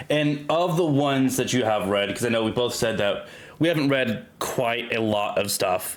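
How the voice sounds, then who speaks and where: In a room with audible echo and noticeable background noise, a man at a medium pitch talks with lively intonation and very even loudness. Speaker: podcast host. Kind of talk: casual chat. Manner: slow.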